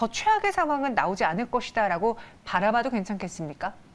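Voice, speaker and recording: A woman's pitch swings very widely as she talks fairly quickly. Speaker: news anchor. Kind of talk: financial news interview. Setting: studio. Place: studio. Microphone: lapel.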